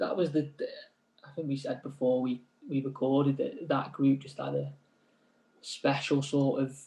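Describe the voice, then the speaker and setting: Somewhat breathy and fairly high-pitched, a man talks at a moderate pace with fairly even intonation and long, frequent pauses. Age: 30s. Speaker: semi-pro footballer. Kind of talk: casual interview.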